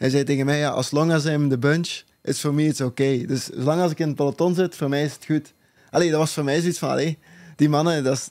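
A man talks at a very fast pace with monotone, flat intonation. His pitch is fairly high, and the background is quiet. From Belgium. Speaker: professional cyclist; guest. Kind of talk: casual chat. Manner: halting, many uh fillers. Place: studio. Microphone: studio mic.

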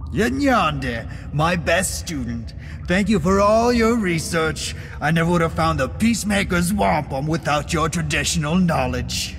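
A man with a smug, menacing tone at a moderate pace, with clear background noise.

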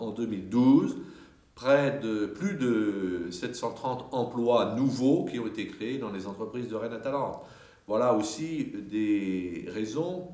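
Audible room echo follows a man as he talks at a very slow pace. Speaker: city mayor. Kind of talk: interview answer. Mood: confident, measured official tone. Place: hall.

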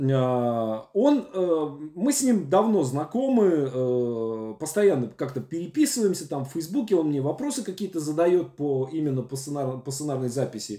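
A man's dark, mellow voice, very slow, with very wide pitch swings and audible room echo. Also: quiet background. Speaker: screenwriting teacher. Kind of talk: lecture. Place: home room. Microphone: webcam.

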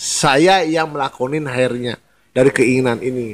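Speaking in a plain, everyday voice, a man keeps a moderate pace with ordinary pitch variation. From Bali, Indonesia. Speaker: spiritual figure, former tattoo artist. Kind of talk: interview about spirituality.

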